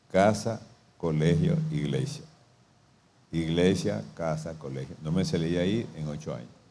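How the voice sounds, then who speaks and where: A man's very deep, low voice with a dark, mellow tone and vocal fry, lively intonation, a fairly slow pace with long, frequent pauses, and audible room echo. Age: 70s. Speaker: pastor. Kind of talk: sermon.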